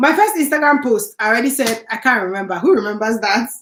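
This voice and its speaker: Animated and with a bright, sharp tone, a woman speaks in a high pitch with a Nigerian accent. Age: 30s. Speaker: YouTuber. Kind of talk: live stream chat.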